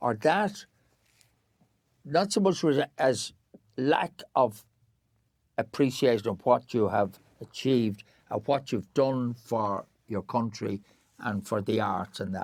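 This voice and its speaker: A man at medium pitch, very slow, with long, frequent pauses and lively intonation. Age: 80s+. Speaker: actor and theatre director. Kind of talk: casual interview chat. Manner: halting, repetitive.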